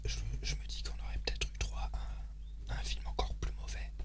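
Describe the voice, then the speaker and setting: Over noticeable background noise, a man speaks in a very deep, low pitch. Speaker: ASMR creator. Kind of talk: ASMR whisper, casual talk to camera. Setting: home recording, close mic, eating sounds. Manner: whispered, slow, with hesitations.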